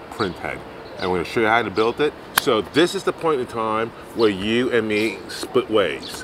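Over noticeable background noise, a man with a fairly low voice talks at a moderate pace in a dry sound with no echo. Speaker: maker channel host. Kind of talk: tutorial. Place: street.

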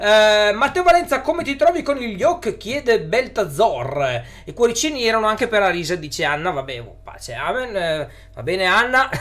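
Very wide pitch swings and big swings in loudness mark this moderate-paced speech. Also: man, high pitch for a man. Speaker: YouTuber on electric cars; live streamer. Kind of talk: live stream chat with viewers. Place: home room.

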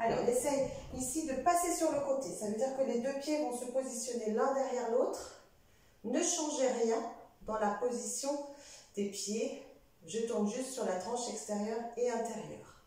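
A woman talks at a fairly slow pace with long, frequent pauses, using a high pitch and ordinary pitch variation. Strong room echo fills the recording. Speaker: fitness instructor. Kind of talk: exercise class instruction. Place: home room.

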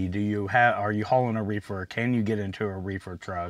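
A man's plain, everyday voice, fairly low in pitch with ordinary pitch variation, at a moderate pace, in dry sound with no echo. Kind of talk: casual vlog chat.

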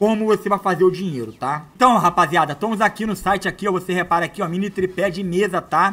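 A man with a Brazilian accent speaks in a raised, projected voice at a high pitch with ordinary pitch variation. His tone is animated, bright and sharp. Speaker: online money-making youtuber; online seller, youtuber. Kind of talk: product demo tutorial. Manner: casual and animated. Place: home room. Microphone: lapel.

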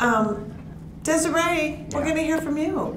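A woman with an American accent is heard over noticeable background noise. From US Midwest. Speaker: comedian and panel moderator; panel moderator. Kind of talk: panel discussion. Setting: stage with audience. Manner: animated. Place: meeting room. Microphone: podium.

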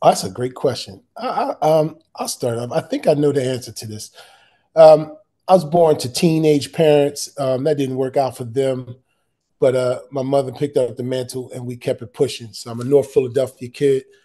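With a dark, mellow tone and fairly even intonation, a man speaks against a quiet background. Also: moderate pace. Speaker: assistant principal. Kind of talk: panel discussion. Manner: halting, repeats words. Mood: warm, reflective. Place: home room. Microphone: video call.

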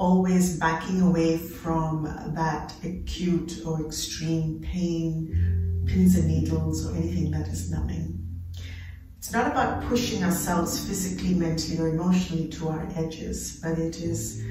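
A woman speaks with audible room echo. Music plays in the background. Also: fairly slow pace. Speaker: yoga teacher. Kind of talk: class instruction. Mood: calm, gentle. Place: home room. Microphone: camera far.

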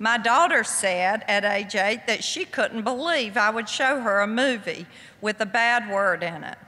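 A woman with a Southern US accent talks at a fairly slow pace. Her fairly high voice has a bright, sharp tone and ordinary pitch variation. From US South. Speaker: author; guest. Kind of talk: lecture. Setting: stage with audience. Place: hall. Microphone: podium.

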